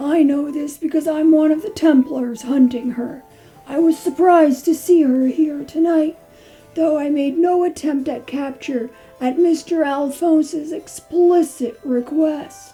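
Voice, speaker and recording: A high-pitched, put-on character voice moves at a fairly slow pace. Faint music plays in the background. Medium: audio drama.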